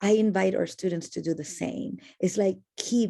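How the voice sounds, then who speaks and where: A woman with a Spanish accent at a moderate pace. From Argentina. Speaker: educator. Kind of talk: casual chat.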